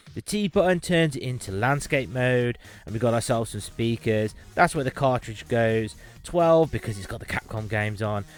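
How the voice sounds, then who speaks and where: Speaking at a moderate pace with a British accent, a man uses lively intonation at a medium pitch. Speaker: tech reviewer. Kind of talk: unboxing review. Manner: casual, conversational; mumbling.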